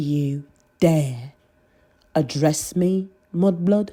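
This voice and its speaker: This is a put-on character voice. It growls. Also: woman, very deep, low pitch for a woman. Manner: snarling, menacing.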